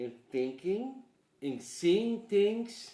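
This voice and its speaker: A man with a Surinamese accent speaks in a dark, mellow tone with lively intonation. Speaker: painter and artist. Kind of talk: interview monologue. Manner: halting.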